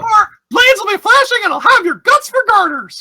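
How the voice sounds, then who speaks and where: In a put-on character voice, the speaker talks at an extremely high pitch and a fairly quick pace. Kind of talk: old-fashioned, swaggering. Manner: growly, threatening, theatrical.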